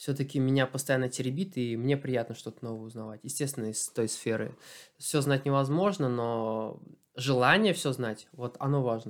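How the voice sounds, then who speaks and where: In a very clean recording with a silent background, a man talks at a moderate pace with medium pitch in a plain, everyday voice. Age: 30s. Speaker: athlete. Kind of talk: casual chat. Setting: home interview.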